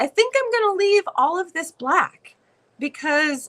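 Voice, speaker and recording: A woman projects a raised voice at a fairly slow pace, her pitch swinging very widely in a dry, close sound with no echo. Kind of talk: tutorial. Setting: studio livestream.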